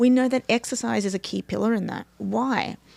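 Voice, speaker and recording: Moderate-paced speech from a woman in an Australian accent. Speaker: neuroscience performance coach. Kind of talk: interview explanation.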